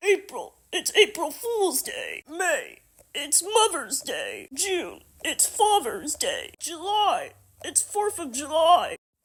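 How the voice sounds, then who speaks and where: An extremely high-pitched cartoonish character voice moves along at a very slow pace. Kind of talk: comedic puppet sketch.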